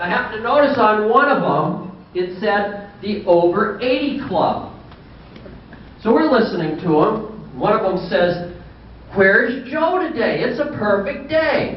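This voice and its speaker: With audible room echo and noticeable background noise, a man speaks high and fairly slowly with lively intonation. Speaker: banquet speaker, car parts seller. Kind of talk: after-dinner speech. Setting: banquet with audience.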